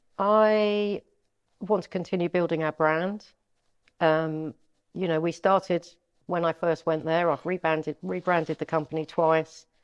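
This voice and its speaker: With a London accent, the speaker goes at a fairly slow pace with long, frequent pauses and fairly even intonation, the sound dry and close with no echo and the background quiet. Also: woman, fairly low pitch for a woman. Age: 60s. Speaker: estate agent. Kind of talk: interview.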